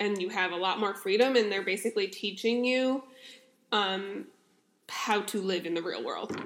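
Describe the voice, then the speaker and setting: A woman at medium pitch, moderate pace, fairly even intonation, and long, frequent pauses. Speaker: podcast host. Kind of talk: casual chat. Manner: loud.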